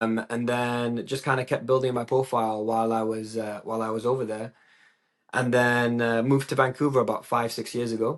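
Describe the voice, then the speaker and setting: Against a quiet background, the speaker talks at a fairly quick pace in an English accent. The intonation is monotone and flat. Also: man, medium pitch for a man. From England. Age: 20s. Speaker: DJ and psychology student. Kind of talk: podcast interview.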